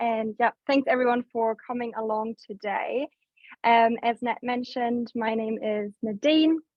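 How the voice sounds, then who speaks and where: Speaking with a German accent, a woman uses a fairly high pitch. Her pace is fairly slow and her intonation fairly even. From Germany. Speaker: business development staff at food waste app. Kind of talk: webinar presentation.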